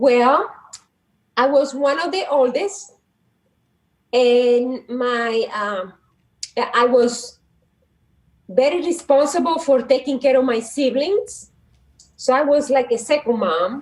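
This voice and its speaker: Speaking very slowly with long, frequent pauses, a woman with a Dominican accent uses a high pitch and lively intonation. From Dominican Republic, south near Haiti border. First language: Spanish. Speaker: psychologist and guidance counselor. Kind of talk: casual interview.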